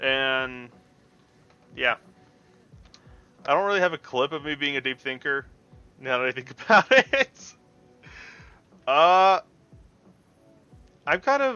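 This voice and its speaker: A man with a fairly high pitch speaks at a fairly slow pace, with ordinary pitch variation. He leaves long, frequent pauses. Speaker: vtuber streamer. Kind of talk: casual live stream chat. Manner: loud; animated.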